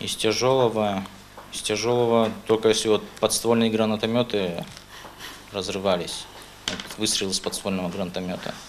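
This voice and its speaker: A man at a fairly low pitch and moderate pace, with fairly even intonation, long, frequent pauses and light background noise. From North Ossetia, Russia (Beslan); North Ossetia, Russia. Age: 20s. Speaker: court witness; witness. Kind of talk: court testimony. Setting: courtroom. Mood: tense, subdued. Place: hall.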